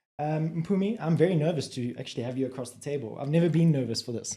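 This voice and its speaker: A man with a dark, mellow tone and a somewhat breathy quality speaks at a very fast pace. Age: 30s. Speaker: podcast host. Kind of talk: podcast interview. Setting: studio.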